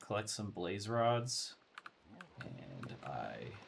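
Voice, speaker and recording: A man speaks quietly at a very slow pace. His intonation stays fairly even. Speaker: gaming let's play host. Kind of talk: casual gameplay commentary.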